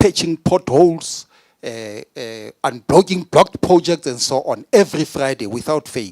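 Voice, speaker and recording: A man with a non-native accent speaks at a fairly slow pace and a fairly high pitch, with lively intonation and an animated tone. The sound is dry and close, with no echo. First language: not English. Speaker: provincial politician. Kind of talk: speech.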